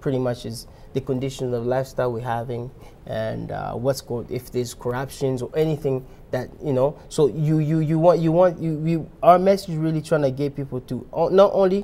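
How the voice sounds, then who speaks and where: A man speaks in a Congolese accent at a fairly quick pace. His pitch is fairly high, with ordinary pitch variation. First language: Lingala. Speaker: rapper. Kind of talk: interview. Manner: halting, many restarts.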